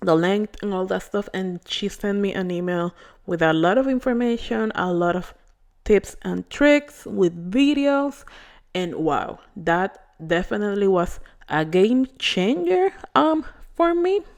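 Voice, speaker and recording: Over a quiet background, a woman with a Spanish accent talks at a fairly slow pace, her medium-pitched voice carrying lively intonation. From Puerto Rico. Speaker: beauty vlogger. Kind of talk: hair care tutorial vlog. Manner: casual, hesitant with fillers.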